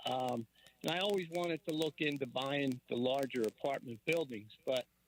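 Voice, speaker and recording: Recorded with a dry, close sound and no echo, a man talks at a moderate pace with a fairly high pitch, ordinary pitch variation and very even loudness. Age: 60s. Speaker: caller, small real estate investor. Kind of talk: call-in radio question. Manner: halting, many fillers.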